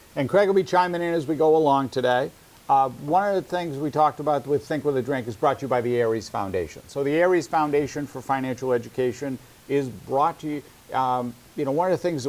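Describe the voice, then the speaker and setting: A man with a New England accent talks at a fairly quick pace in a fairly high voice. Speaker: financial advisor and webinar host. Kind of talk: casual educational webinar. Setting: webinar.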